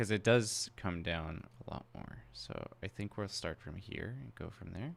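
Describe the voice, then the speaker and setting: Mumbling with vocal fry, the speaker goes at a very slow pace yet keeps a lively intonation. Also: man. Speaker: character concept artist streaming live drawing. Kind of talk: live drawing tutorial stream. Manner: mumbling while thinking; casual, hesitant with fillers.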